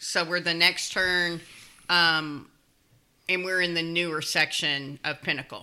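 A woman with a Kentucky accent at a fairly low pitch, monotone and flat, at a very slow pace with long, frequent pauses. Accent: Kentucky Southern US. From Louisville, Kentucky. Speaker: neighborhood resident. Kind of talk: casual chat.

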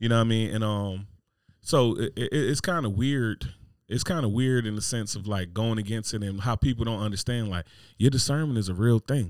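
Speaking fairly quickly with an American accent, a man uses a normal speaking voice of medium pitch and ordinary pitch variation on a very clean recording with a silent background. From New Jersey. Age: 30s. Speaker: podcast host. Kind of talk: casual chat.

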